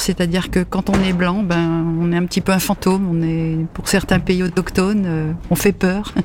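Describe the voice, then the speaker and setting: Over noticeable background noise, a woman talks at a fairly slow pace and a medium pitch. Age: 70s. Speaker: library patron. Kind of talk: casual chat.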